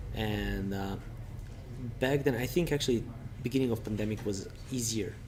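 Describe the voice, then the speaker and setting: A man talks at a moderate pace with a medium pitch. Some room echo can be heard around his voice. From Serbia. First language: Serbian. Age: 30s. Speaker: recruitment consultant. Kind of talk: interview.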